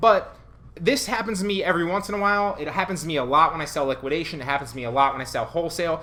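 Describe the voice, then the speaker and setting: Talking at a very fast pace, a man uses a high pitch, lively intonation and an animated tone. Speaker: online reseller and YouTuber; online reseller, YouTuber. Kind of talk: tutorial. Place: home room.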